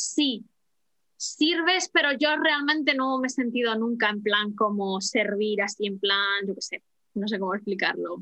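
This woman has a normal speaking voice, fairly high in pitch, with lively intonation. She talks at a fairly slow pace. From Spain, Madrid. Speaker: flight attendant and language teacher. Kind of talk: casual interview.

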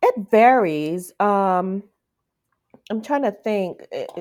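In a very clean recording with a silent background, a woman talks with a Virgin Islands accent. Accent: Caribbean (Virgin Islands) English. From US Virgin Islands, Saint Thomas. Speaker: romance author. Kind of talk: casual interview.

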